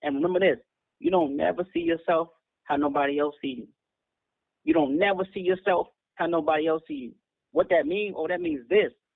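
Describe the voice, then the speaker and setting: Speaking fairly quickly in a high voice, a man leaves long, frequent pauses. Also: ordinary pitch variation. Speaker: independent rapper. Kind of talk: casual interview. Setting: remote call.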